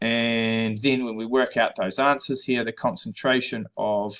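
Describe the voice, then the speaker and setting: A bright, sharp tone in a New Zealand accent, fairly slow pace, ordinary pitch variation, very clean recording with a silent background. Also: man. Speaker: high school chemistry teacher. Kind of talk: tutorial.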